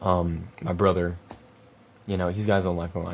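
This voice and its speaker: A man with a very deep, low pitch talks at a fairly quick pace, keeping his intonation fairly even. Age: 20s. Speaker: podcast host, young cancer patient. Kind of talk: personal monologue podcast. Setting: home video recording with monitors. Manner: halting, word-finding pauses; casual, emotional.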